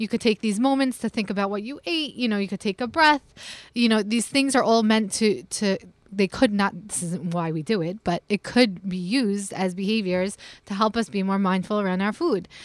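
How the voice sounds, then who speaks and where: In a plain, everyday voice, the speaker uses lively intonation at a moderate pace, with a dry, close sound with no echo. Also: woman, very clean recording, silent background. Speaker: nutrition author. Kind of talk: radio interview. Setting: studio.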